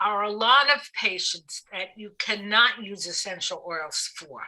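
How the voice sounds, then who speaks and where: A woman with a Brooklyn accent, fairly high-pitched, bright and sharp in tone, with lively intonation. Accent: Brooklyn, still present. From New York City (Brooklyn). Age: 60s. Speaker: aromatherapist. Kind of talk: podcast interview.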